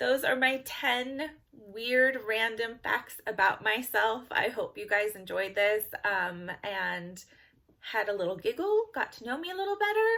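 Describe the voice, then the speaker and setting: At a fairly slow pace, a woman with an American accent talks in a fairly high pitch and a bright, sharp tone. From California. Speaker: beauty vlogger. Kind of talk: casual vlog talk to camera. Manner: casual, with frequent fillers.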